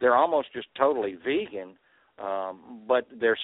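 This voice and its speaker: This man has a Southern US accent. He keeps his delivery at a moderate speed. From Arkansas and Texas. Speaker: truck driver, healthy cooking page organizer. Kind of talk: call-in radio discussion.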